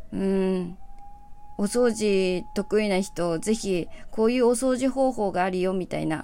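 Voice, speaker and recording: The pitch moves in an ordinary way, and the tone is relaxed. Delivery comes at a fairly slow pace. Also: woman, medium pitch for a woman. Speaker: singer-songwriter hosting a solo radio show. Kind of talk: casual solo talk show monologue. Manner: relaxed, laid-back.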